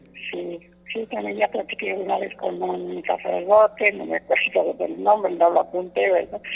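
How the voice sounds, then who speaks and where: At a moderate pace, the voice makes big swings in loudness over noticeable background noise. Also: woman. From Mexico, Guanajuato (Cortazar). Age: old. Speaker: radio caller, elderly sponsor. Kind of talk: casual phone chat. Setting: phone call. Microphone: dropped phone line.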